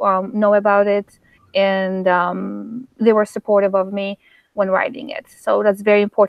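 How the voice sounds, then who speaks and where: A woman's voice with a Polish accent. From Poland. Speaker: author. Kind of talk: interview. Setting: live stream. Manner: halting.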